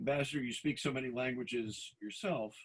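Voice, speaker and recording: A man with a plain, everyday voice and an American accent talks at a fairly quick pace with lively intonation. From Boston. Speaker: academic dean and moderator. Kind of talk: moderated discussion.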